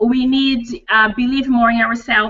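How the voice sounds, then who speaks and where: A woman speaks with a Portuguese accent at a high pitch. Her pace is fairly slow. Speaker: dental hygienist and coach. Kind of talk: interview. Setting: video call. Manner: halting.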